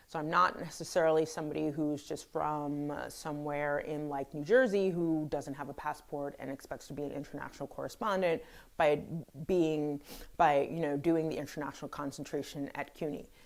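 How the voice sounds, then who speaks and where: A woman with a very deep, low pitch talks at a fairly quick pace with fairly even intonation. The recording is very clean, with a silent background. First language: French. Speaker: journalist. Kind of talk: video commentary. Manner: hesitant.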